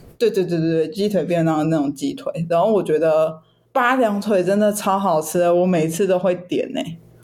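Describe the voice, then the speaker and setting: A woman with a Taiwanese accent, fairly low pitch, ordinary pitch variation and a fairly quick pace. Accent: Taiwanese Mandarin. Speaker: podcast co-host. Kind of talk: casual chat.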